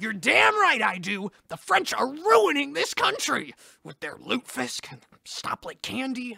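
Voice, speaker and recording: A man's high-pitched voice at a moderate pace, with big swings in loudness and a dry, close sound with no echo. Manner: cranky, indignant.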